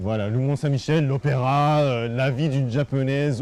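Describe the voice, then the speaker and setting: A man's medium-pitched voice holds fairly even intonation while moving very slowly. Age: 30s. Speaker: TV fixer and producer. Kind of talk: interview. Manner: halting, many hesitations.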